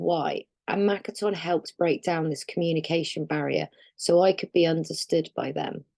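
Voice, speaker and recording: The recording sounds dry and close, with no echo at all. A woman speaks at a medium tempo. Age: adult. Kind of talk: personal testimony. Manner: halting.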